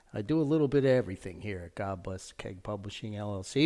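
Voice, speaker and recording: A man speaks with a New Jersey accent. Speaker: podcast host and author. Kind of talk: casual podcast intro.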